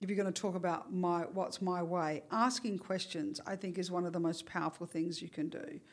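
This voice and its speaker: Hardly pausing, a woman with an Australian accent talks at a fairly quick pace and a fairly low pitch, with ordinary pitch variation. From Australia, Perth. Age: 60s. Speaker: university lecturer. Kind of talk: interview conversation.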